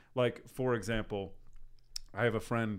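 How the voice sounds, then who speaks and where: Moderately paced speech from a man, on a very clean recording against a silent background. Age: 30s. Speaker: podcast host. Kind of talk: casual chat.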